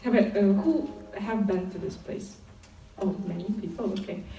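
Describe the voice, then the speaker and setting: With audible room echo and noticeable background noise, a woman talks at a moderate pace in a medium pitch with ordinary pitch variation. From Ukraine. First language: Ukrainian or Russian. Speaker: lay missionary speaker. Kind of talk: testimony. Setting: conference stage with audience. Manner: hesitant, many fillers.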